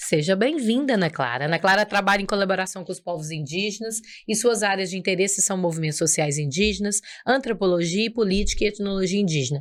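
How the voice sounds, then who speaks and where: This woman talks at a very fast pace. Her pitch is medium. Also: lively intonation. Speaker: podcast host. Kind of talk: podcast interview.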